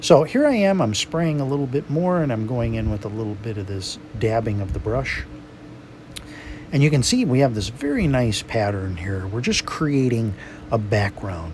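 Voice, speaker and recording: Over noticeable background noise, a man at medium pitch uses lively intonation and a moderate pace. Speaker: watercolor painting instructor. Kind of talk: tutorial. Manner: animated.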